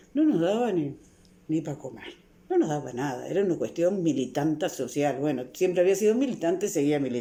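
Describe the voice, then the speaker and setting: Speaking at a fairly quick pace, a woman has a very deep, low pitch and a dark, mellow tone. Her intonation is lively. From Uruguay, Montevideo (La Teja). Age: 60s. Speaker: psychologist and author. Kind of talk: interview.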